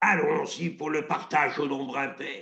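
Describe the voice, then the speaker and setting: A man uses a put-on character voice with a fairly high pitch. He speaks at a moderate pace. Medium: solo performance. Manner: commanding, haughty.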